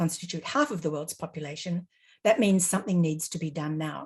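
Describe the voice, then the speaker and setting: With an Australian accent, a woman speaks in a somewhat breathy voice with lively intonation. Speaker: panelist, legal advocate. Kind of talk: webinar presentation. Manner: formal.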